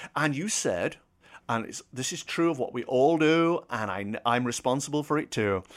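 This man has a British accent and a fairly high pitch, speaking at a moderate pace. His intonation is lively, and the recording is very clean with a silent background. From Britain. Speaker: former radio broadcaster and author. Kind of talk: casual interview chat.

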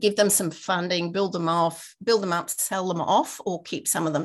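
With an Australian accent, a woman speaks at a fairly low pitch and a moderate pace. Her pitch varies in an ordinary way. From Queensland, Australia (Rockhampton). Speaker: innovation consultant. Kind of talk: interview.

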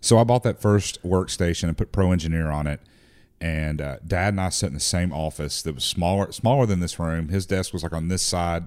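Over a silent background in a very clean recording, a man talks at a fairly quick pace. He has a Southern US accent and a very deep, low pitch. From Tennessee. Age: 40s. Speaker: firearms company executive. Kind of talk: casual chat.

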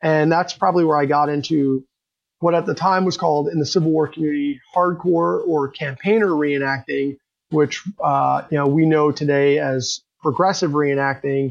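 A man with a fairly high pitch and an ordinary speaking voice talks at a moderate pace, his intonation fairly even and his loudness very even. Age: 40s. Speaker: reenactor and unit historian. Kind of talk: casual interview.

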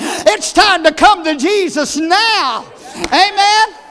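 The voice has an animated tone. Noticeable noise sits in the background. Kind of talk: sermon. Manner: animated, fervent pulpit delivery with exclamations and urgent altar calls.

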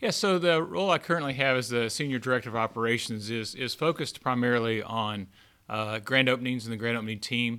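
In a very clean recording with a silent background, a man with a Southern US accent talks at a very fast pace, medium in pitch, with a bright, sharp tone and ordinary pitch variation. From US South, born Texas, raised Arkansas. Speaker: retail chain operations director. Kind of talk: casual interview.

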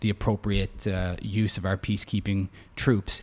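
A man talks in a fairly low pitch. His intonation stays monotone and flat. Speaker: politician. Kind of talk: interview.

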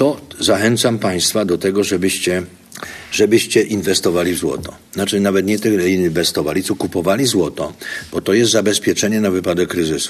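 Noticeable background noise sits under a man talking at a fairly quick pace in a very deep, low pitch. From southern Poland, Zakopane and Kraków. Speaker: investor and business educator. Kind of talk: interview. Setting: conference venue.

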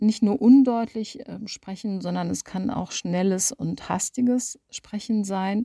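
Her tone is dark and mellow, somewhat breathy, with lively intonation. The woman speaks fairly slowly on a very clean recording with a silent background. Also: dry, close sound with no echo. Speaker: speech coach, former radio presenter. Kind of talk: tutorial.

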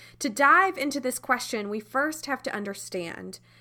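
A woman's high-pitched, bright, sharp voice with very wide pitch swings, on a very clean recording with a silent background. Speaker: podcast announcer and devotional speaker. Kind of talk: announcement and devotional talk.

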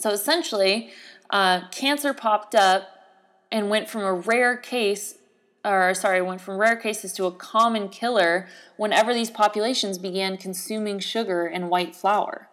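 The recording is very clean, with a silent background. The speech moves at a moderate pace with ordinary pitch variation. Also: woman, medium pitch for a woman. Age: 20s. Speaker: podcast host. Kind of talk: solo casual podcast monologue. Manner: animated.

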